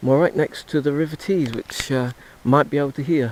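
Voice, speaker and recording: A man with an English accent, with noticeable background noise. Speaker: touring cyclist. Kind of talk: audio diary. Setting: outdoors. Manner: halting; soft-spoken.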